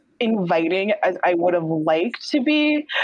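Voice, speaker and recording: Very wide pitch swings from a woman speaking, with noticeable background noise behind. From New York. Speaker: graduate student in speech pathology. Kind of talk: casual chat. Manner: quiet.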